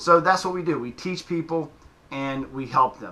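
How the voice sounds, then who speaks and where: With a Southern US accent, a man speaks at a moderate pace in a bright, sharp tone with ordinary pitch variation. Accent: southern twang. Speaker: fitness coach. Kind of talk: casual explainer video. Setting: home gym in basement.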